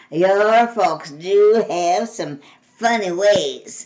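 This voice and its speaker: Using a put-on character voice, a woman speaks very slowly at a medium pitch with ordinary pitch variation. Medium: read story. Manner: easygoing, curious.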